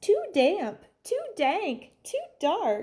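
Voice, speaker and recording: A woman performs a squeaky, high-pitched put-on character voice that swings very widely in pitch. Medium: read story.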